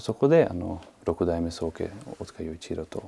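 A man speaks with very wide swings in pitch. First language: not Japanese (speaking Japanese). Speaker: martial arts master. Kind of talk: interview. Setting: martial arts hall. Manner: halting, many fillers.

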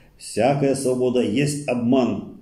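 The room gives back an audible echo. A man's speech moves fairly slowly. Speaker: study circle leader. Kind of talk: reading aloud. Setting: study circle recording. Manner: formal, steady lecturing delivery; slow, measured, declamatory. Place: meeting room.

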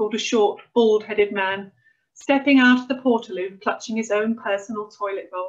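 The clip has a natural reading voice with ordinary pitch variation. The background is quiet.

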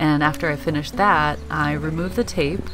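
Fairly quick pace against noticeable background noise. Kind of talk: reflective voice-over commentary.

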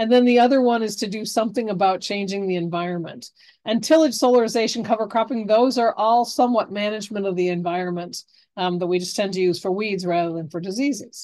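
A woman speaks very fast in a dark, mellow tone with ordinary pitch variation against a quiet background. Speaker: extension professor, horticulture and pest management; university extension educator. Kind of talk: webinar lecture. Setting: video call webinar. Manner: fast talker. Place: home room. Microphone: webcam.

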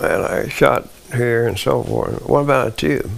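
A man with a Southern US accent. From US South, Arkansas. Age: 90s. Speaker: war veteran. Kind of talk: interview testimony. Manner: halting. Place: home room. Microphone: lapel.

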